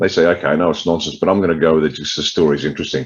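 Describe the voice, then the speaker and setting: In an Australian accent, a man speaks at a very deep, low pitch. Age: 60s. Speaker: political party leader. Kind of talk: interview.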